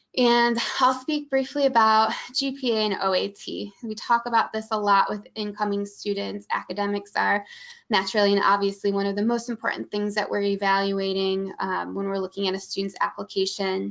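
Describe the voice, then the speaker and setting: A woman with a Midwestern accent speaks at a fairly quick pace with fairly even intonation. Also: medium pitch for a woman. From Michigan, US Midwest. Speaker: college admissions staff. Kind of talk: webinar presentation. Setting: online webinar.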